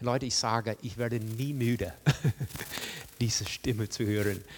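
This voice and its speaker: Recorded very cleanly against a silent background, a man speaks at a medium pitch. His pace is fairly slow and his pitch varies in an ordinary way. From rural farm upbringing. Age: 60s. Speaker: guest preacher. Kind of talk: sermon. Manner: halting, many fillers.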